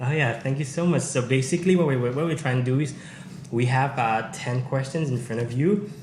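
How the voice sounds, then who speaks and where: The speech moves at a fairly quick pace. Audible room echo and noticeable background noise fill the recording. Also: man, medium pitch for a man, ordinary pitch variation. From Manipur, northeast India. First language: Manipuri. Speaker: YouTuber hosting language exchange. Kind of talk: video intro in Manipuri; casual language-teaching game. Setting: university campus.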